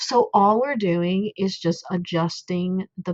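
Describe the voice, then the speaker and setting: The speaker has a somewhat breathy voice, a non-native accent and ordinary pitch variation. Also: woman. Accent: self-described non-native. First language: not English. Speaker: coding tutorial creator, parent. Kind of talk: tutorial. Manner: hesitant, many fillers; casual, chatty.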